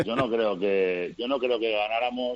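A man has a normal speaking voice, fairly low in pitch, with ordinary pitch variation. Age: 30s. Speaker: women's handball coach. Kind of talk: interview.

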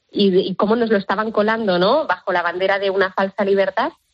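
A woman in an ordinary speaking voice, medium in pitch, at a fairly quick pace with ordinary pitch variation. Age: 20s. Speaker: pro-life activist. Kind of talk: radio interview.

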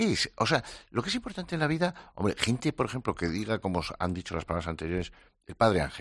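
Over a quiet background, a man with vocal fry talks at a fairly quick pace. His pitch is fairly low and swings very widely. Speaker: psychologist. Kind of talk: casual conversation.

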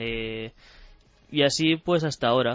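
A man talks in a normal speaking voice at a medium pitch. His pace is fairly slow, his intonation fairly even. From Spain, Barcelona. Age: 20s. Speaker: professional esports player. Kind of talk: radio interview.

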